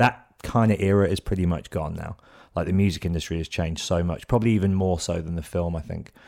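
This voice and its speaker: In a British accent, a man with a very deep, low pitch and a dark, mellow tone talks at a very fast pace with ordinary pitch variation, in a very clean recording with a silent background. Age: 30s. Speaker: podcast host and DJ. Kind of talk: casual interview chat.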